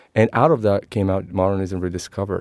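In a very clean recording with a silent background, a man with an Italian accent speaks fairly quickly at a fairly low pitch. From Sicily, Italy (Messina). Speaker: architect and author. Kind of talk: interview.

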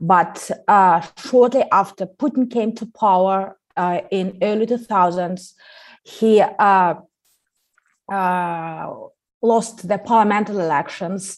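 Against a quiet background, a woman with a Russian accent talks at a very slow pace and a medium pitch, with ordinary pitch variation. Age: 30s. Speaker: podcast co-creator and guest. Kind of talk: interview. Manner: halting.

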